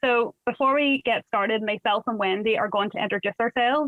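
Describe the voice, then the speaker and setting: A woman with a Northern Irish accent talks at a fairly high pitch. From Northern Ireland. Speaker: art workshop facilitator. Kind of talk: workshop introduction.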